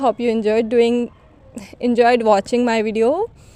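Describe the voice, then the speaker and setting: A woman speaks with an Indian accent and a high pitch. Her pace is moderate. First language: Hindi. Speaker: English learning vlogger. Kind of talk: casual vlog talk to camera.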